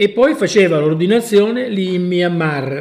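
Lively intonation from a man with a high pitch. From Sicily. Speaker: traveller and hiker. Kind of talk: casual chat. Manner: halting.

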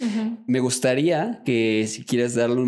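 A man with a plain, everyday voice, a fairly slow pace and fairly even intonation. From Mexico. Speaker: podcast host. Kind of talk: interview. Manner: casual.

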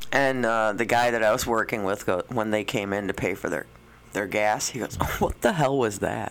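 An ordinary speaking voice with an American accent, moving at a moderate pace with ordinary pitch variation. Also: man, fairly low pitch for a man. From Chicago suburbs, Illinois. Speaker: radio co-host. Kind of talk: casual banter. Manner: teasing, easygoing.

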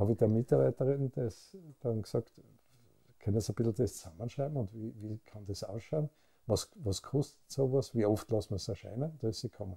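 In a Styrian accent, a man speaks at a fairly quick pace with long, frequent pauses, a medium pitch and ordinary pitch variation. His voice is somewhat breathy and dark and mellow, with a dry, close sound and no echo. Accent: Austrian German, Styrian. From Austria, Graz (Styria). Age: 70s. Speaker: pharmacist and business owner. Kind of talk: interview. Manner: calm; halting.

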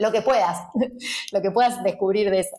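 The woman's pitch sits in the medium range. She talks at a very fast pace. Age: 30s. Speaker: entrepreneur and designer. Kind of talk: interview.

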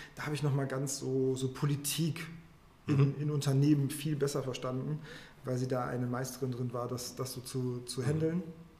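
A man talks at a fairly quick pace and fairly high pitch, his intonation flat and monotone. Audible room echo surrounds his voice. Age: middle-aged. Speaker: finance professional. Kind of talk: interview conversation.

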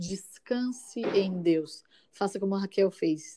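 Soft-spoken and calm in tone, a woman speaks at medium pitch with a dark, mellow quality. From São Paulo, East Zone. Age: 30s. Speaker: schoolteacher. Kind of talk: casual chat with faith encouragement.

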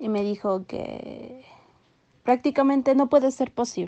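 At a fairly slow pace, a woman talks in an unremarkable speaking voice with fairly even intonation. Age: 20s. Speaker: young mother sharing her story. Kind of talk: personal testimony interview.

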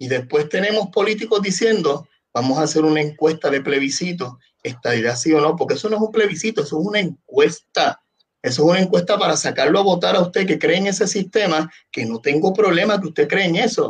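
Lively intonation marks this man's high-pitched voice as he speaks at a fairly quick pace. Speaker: podcast host and salesman. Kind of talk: casual discussion. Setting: Facebook live stream.

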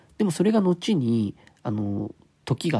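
Here a man sounds somewhat breathy, with a dark, mellow tone and very wide pitch swings. The audio is dry and close, without echo. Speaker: podcast host, unemployed former nurse. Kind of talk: solo casual talk. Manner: halting, stumbling over words; fast in places.

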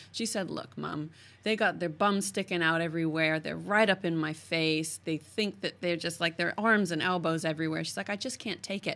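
Speaking at a moderate pace, a woman with an American accent uses a fairly low pitch. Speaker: podcast host. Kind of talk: casual interview chat. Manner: animated, enthusiastic.

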